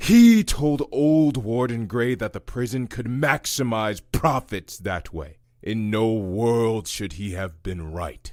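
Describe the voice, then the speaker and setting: A man's put-on character voice at a medium pitch, fairly slow yet with hardly any pauses, lively in intonation, in a very clean recording with a silent background. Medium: audio drama. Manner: weary, bitter.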